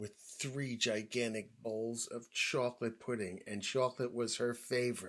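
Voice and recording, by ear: Natural-voiced reading aloud, intonation fairly even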